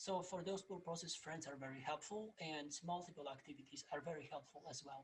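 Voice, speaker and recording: Moderate pace with a slight Polish accent. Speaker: plant scientist, research professor. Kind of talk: presentation. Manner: halting, many fillers.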